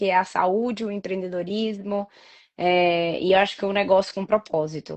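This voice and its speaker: A woman with a strong Bahian accent speaks at a medium pitch and a moderate pace. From Bahia, Brazil (Salvador). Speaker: entrepreneur. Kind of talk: interview.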